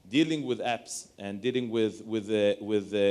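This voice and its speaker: Speaking with an Israeli accent, a man at medium pitch talks at a moderate pace. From Israel, Tel Aviv. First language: Hebrew. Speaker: lawyer. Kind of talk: panel discussion.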